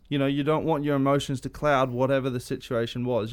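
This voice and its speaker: Speaking with an Australian accent, this man has a fairly high pitch. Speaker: podcast host. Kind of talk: casual interview.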